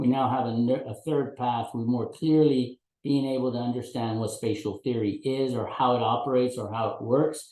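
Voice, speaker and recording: The voice has a dark, mellow tone and runs on with hardly any pauses. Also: man, medium pitch for a man, fairly even intonation. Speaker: conference presenter. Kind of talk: academic presentation. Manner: fast; halting, many repetitions.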